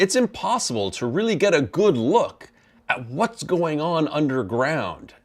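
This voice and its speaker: On a very clean recording with a silent background, a man with vocal fry speaks at a fairly high pitch in very wide pitch swings. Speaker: volcano expert. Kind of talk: recorded interview takes. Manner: restarts and retakes lines.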